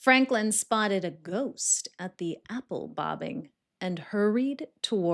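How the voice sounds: The background stays quiet around a natural reading voice.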